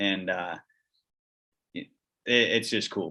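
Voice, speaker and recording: Against a quiet background, a man talks with a Wisconsin accent. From Central Wisconsin, US Upper Midwest. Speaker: fitness company outdoors founder. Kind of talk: casual chat. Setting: call.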